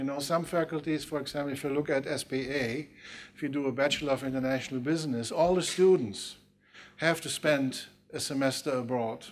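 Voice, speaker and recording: A man speaks at a fairly quick pace with a Dutch accent. His pitch sits fairly high, with ordinary variation. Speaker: university official moderating debate. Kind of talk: panel debate. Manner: halting.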